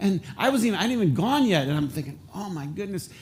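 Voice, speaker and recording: In an animated tone, a man with a Michigan accent speaks very fast. His pitch swings very widely amid audible room echo. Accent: Flint, Michigan English. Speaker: pastor. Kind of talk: sermon. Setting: church with congregation. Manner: conversational, animated.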